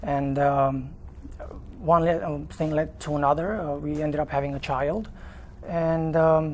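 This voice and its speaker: The speech is fairly slow, broken by long, frequent pauses. A room echo can be heard. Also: man. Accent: Romanian. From Romania. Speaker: father in custody dispute. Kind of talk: TV interview. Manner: halting, many fillers.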